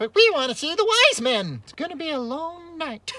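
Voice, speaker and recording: A female-sounding put-on character voice sits at an extremely high pitch. It swings very widely in pitch at a moderate pace. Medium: read story.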